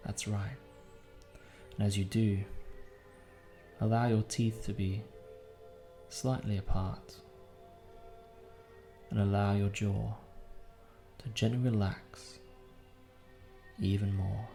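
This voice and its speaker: Over music in the background, a man with a fairly low pitch speaks in a soothing tone at a very slow pace, with ordinary pitch variation and long, frequent pauses. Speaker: hypnotist. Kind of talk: guided sleep hypnosis. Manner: slow, soothing.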